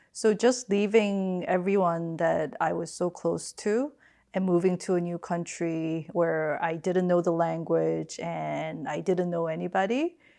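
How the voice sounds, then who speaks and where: A woman with a Korean accent speaks at a fairly slow pace with hardly any pauses, her fairly low voice dark and mellow, with ordinary pitch variation. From Queens, New York (from age 12; Seoul before). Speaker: finance executive. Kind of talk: family interview. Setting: remote video call.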